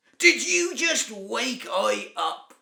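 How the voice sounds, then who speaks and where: This is a man's voice. He uses a put-on character voice. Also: extremely high pitch for a man. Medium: read story. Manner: slow, blustering.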